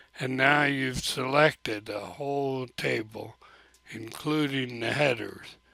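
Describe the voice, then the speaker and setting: Medium-pitched male speech at a very slow pace with fairly even intonation, dry with no echo, over a quiet background. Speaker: teacher. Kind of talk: screen-recorded software tutorial. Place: home room. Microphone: webcam.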